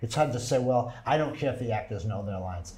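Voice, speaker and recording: Speaking with a somewhat breathy quality, the man uses lively intonation. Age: 70s. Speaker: actor and theater producer. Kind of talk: interview. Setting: studio.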